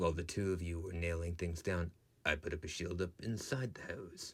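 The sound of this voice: A man puts on a character voice in a very deep, low pitch. He goes at a fairly quick pace with fairly even intonation.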